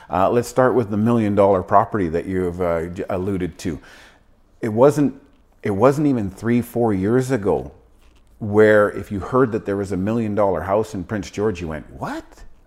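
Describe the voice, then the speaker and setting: An unremarkable speaking voice belongs to a man with a fairly low pitch and ordinary pitch variation. He talks at a moderate pace on a very clean recording with a silent background. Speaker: real estate agent. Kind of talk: casual interview chat.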